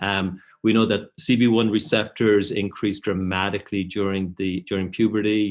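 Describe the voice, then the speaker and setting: The speaker has an Irish accent. The intonation is monotone and flat. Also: man. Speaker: professor. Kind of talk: lecture. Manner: hesitant fillers.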